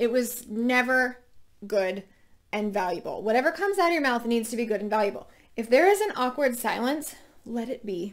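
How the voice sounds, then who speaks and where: A high-pitched woman's voice at a moderate pace, animated in tone with lively intonation. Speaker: working mom career show host. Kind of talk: casual advice monologue.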